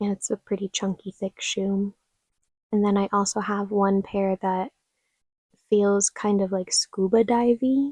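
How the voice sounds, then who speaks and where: A soft-spoken woman talks at a fairly slow pace with long, frequent pauses, a medium pitch, monotone, flat intonation and a dark, mellow tone. The recording is very clean and dry, with a close sound, no echo and a silent background. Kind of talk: soft-spoken ASMR closet tour. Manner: soft-spoken, slow, quiet.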